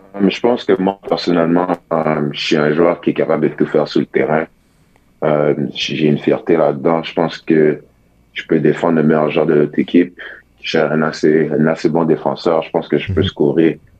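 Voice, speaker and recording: Flat and monotone, a man with a Quebec accent talks at a moderate pace in a very deep, low pitch. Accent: Québécois French. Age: young. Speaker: college basketball player. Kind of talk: radio interview. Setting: phone call.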